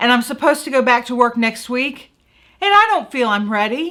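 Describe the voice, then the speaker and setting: A woman's bright, sharp, raised and projected voice with an American accent, a moderate pace and very wide pitch swings. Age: 50s. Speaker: journalist and talk show host. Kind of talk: casual talk to camera, emotional confessional.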